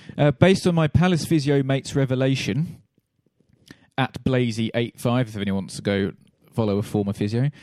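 A man talks at a moderate pace in an unremarkable speaking voice of medium pitch, with lively intonation. The sound is dry and close, with no echo. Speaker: podcast host. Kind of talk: casual banter while watching football.

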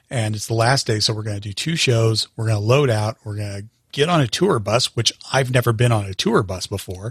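A somewhat breathy voice with an American accent speaks at a fairly quick pace, with ordinary pitch variation. The recording is very clean, with a silent background. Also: man, medium pitch for a man, dry, close sound with no echo. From US Colorado. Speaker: theatrical sound engineer. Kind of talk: casual interview.

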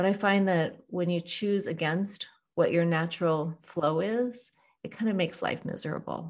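A woman speaks in an ordinary speaking voice, pitched fairly low, at a moderate pace. Her intonation stays fairly even. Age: 40s to 50s (Gen X). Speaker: executive coach. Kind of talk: interview.

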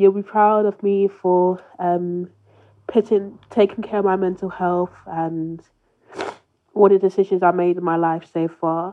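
In a British accent, a woman talks at a medium pitch in a flat monotone. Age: 20s. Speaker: bereaved listener sharing a message. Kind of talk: recorded personal message to late mother. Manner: halting, with many hesitations.

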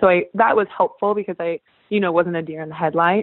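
A woman's fairly low voice at a very fast pace, with a Californian accent. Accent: Californian American. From Northern California. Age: 20s. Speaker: Olympic water polo champion. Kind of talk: casual interview. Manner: animated.

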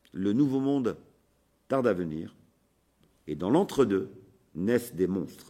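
Dark and mellow in tone, a man's fairly low voice moves with lively intonation. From France. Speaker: sociologist and activist. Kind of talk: recorded conference talk.

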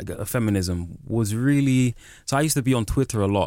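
Recorded very cleanly against a silent background, a man talks at a moderate pace and medium pitch with ordinary pitch variation in a plain, everyday voice. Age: 30s. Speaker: writer. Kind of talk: interview.

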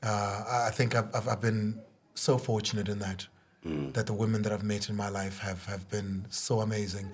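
A man's fairly low voice comes through somewhat breathy, with fairly even intonation. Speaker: reality TV star. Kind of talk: casual chat. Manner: soft-spoken.

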